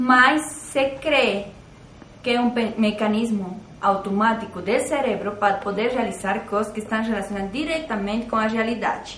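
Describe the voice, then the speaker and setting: With a Portuguese accent, the voice moves at a moderate pace with ordinary pitch variation, amid noticeable background noise and audible room echo. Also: woman, fairly high pitch for a woman. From Brazil. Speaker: psychologist. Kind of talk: staged interview.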